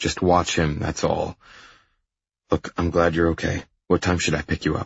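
Putting on a character voice, a man speaks low and monotone at a moderate pace, with a husky, rough edge and vocal fry.

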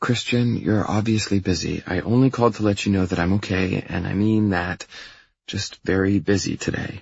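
In a put-on character voice, a man speaks at a moderate pace with low pitch, fairly even intonation, vocal fry and a slightly husky edge.

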